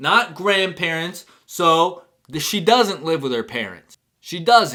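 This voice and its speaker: A man's high, bright, sharp voice carries lively intonation. He goes at a very slow pace, with big swings in loudness. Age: 20s. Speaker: reaction video youtuber. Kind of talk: casual reaction commentary.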